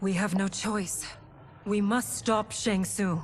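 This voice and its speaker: Over clear background noise, a woman puts on a character voice at a medium pitch, with ordinary pitch variation and a fairly slow pace. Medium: video game.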